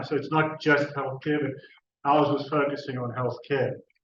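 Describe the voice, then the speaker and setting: The speaker talks at a fairly quick pace with a monotone, flat intonation. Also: man. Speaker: university researcher. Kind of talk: conference presentation. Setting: conference stage with audience. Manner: hesitant, with fillers and restarts.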